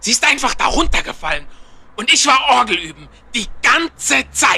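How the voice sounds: A man uses a put-on character voice pitched extremely high, with big pitch swings. His tone is bright and sharp, with a slightly husky edge. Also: moderate pace.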